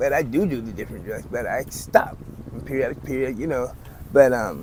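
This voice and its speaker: With audible room echo, a man talks at a fairly quick pace, his pitch varying in an ordinary way and his loudness swinging widely. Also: medium pitch for a man. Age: 60s. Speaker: homeless man. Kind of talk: street interview.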